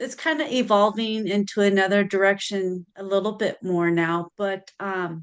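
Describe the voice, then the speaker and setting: With an ordinary speaking voice, a woman at medium pitch talks at a moderate pace with ordinary pitch variation and hardly any pauses. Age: 50s. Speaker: podcast host and psychic reader. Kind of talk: interview.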